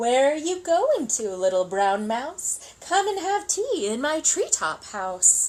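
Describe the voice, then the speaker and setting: A woman uses a put-on character voice, high-pitched with very wide pitch swings. She speaks at a fairly slow pace. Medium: read story.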